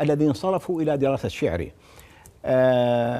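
A man talks at a moderate pace. His tone is dark and mellow. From Iraq, Baghdad (early years in Wasit); Iraq. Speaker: poet and literature professor; guest. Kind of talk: interview. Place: studio. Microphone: lapel.

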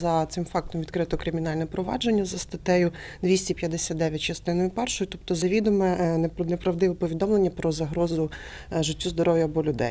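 A woman with a fairly low voice talks at a fairly quick pace, keeping her intonation fairly even. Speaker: police officer. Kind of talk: interview answer. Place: office. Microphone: handheld.

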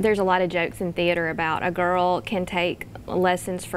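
Light background noise sits under a woman's voice. She speaks at a fairly quick pace with a fairly low pitch. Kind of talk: interview answer. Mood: cheerful, laughs at times. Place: studio.

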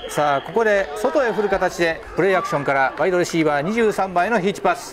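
A man at a high pitch and a very fast pace, with very wide pitch swings and crowd noise in the background. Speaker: play-by-play commentator. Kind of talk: live commentary. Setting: outdoors. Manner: fast talker; formal.

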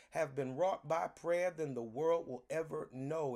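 A man at a moderate pace with ordinary pitch variation over a quiet background. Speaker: pastor leading online prayer. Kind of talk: sermon-style greeting and welcome. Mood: warm, reverent. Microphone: phone near.

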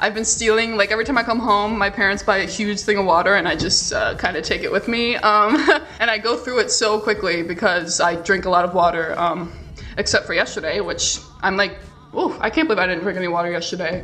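A woman at a very fast pace with ordinary pitch variation, light background noise behind her. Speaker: vlogger. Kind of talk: casual vlog chat. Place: kitchen. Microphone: camera far.

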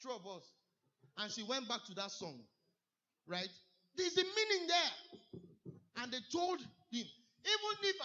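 A man speaks with long, frequent pauses against a quiet background. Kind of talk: sermon. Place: church.

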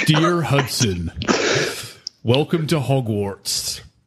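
A man speaks very slowly in a put-on character voice at a medium pitch.

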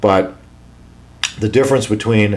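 A fairly low-pitched man's voice with ordinary pitch variation. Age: 50s. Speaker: emergency physician. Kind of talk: health talk to camera. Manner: casual, with fillers. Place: office. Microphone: studio mic.

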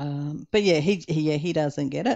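A woman with an Australian accent speaks at a moderate pace in a very deep, low voice over a quiet background. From Western Australia. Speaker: diamond painting YouTuber. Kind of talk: casual chat while crafting. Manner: casual, chatty, with hesitations.

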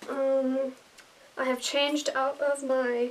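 High pitch from a woman's voice. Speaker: dancer vlogger. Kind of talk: casual vlog chat. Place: home room. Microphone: phone near.

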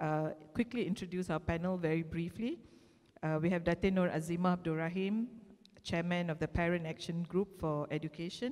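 A woman talks in an ordinary speaking voice at a moderate pace. Her pitch is fairly low. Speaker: panel moderator. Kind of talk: formal introduction of panelists. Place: stage. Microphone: handheld.

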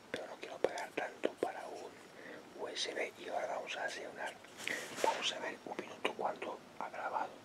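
At a moderate pace, someone whispers. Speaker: ASMR creator. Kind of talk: ASMR test recording, casual talk to camera. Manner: whispered. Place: home room. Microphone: phone near.

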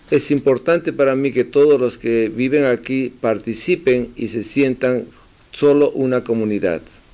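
The voice has a dark, mellow tone. It moves at a fairly slow pace with ordinary pitch variation. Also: man, medium pitch for a man. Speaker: community news host and interpreter; community news host. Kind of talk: interview with live interpretation. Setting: mayor's office. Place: office. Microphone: podium.

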